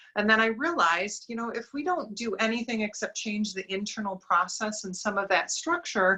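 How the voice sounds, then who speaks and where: A woman with an American accent talks at a fairly high pitch with lively intonation and hardly any pauses, while noticeable background noise sits behind her. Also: moderate pace. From Wisconsin, US Midwest (Madison). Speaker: diversity recruiting consultant. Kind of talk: podcast interview. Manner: animated, big personality.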